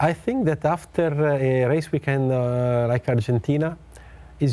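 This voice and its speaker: The voice moves at a fairly slow pace in an Italian accent. Its tone is dark and mellow, with ordinary pitch variation. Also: man. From Italy. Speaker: motorsport team executive. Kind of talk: interview. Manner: halting.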